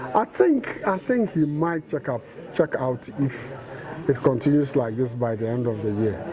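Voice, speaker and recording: A man talks at a moderate pace and medium pitch, with ordinary pitch variation, while noticeable background noise sits behind him. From London, England. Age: 60s. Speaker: motorsport fan. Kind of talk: interview.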